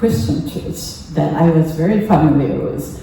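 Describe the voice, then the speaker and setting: A woman talks with a fairly low pitch. Noticeable background noise and audible room echo surround her voice. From Japan (Kamakura, near Tokyo). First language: Japanese. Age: 80s. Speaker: temple member giving a talk. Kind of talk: personal talk at a service. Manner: halting, many fillers.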